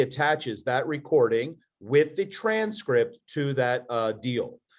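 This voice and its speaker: Against a quiet background, a man with a strong Philadelphia accent speaks at a fairly high pitch. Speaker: podcast co-host, entrepreneur. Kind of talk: casual chat.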